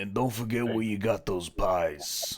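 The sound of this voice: Moderate pace and medium pitch in a man's put-on character voice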